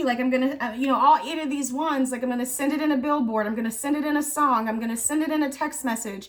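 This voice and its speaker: This is a woman speaking. Her pitch is high. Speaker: tarot reader. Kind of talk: tarot reading. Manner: halting, repeats words.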